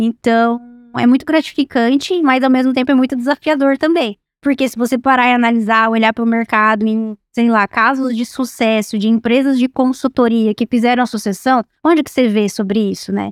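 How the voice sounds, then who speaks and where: At a moderate pace, a woman speaks in a high voice with fairly even intonation, captured on a very clean recording with a silent background and a dry, close sound with no echo. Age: 20s. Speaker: executive director of agricultural consulting firm. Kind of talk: podcast interview.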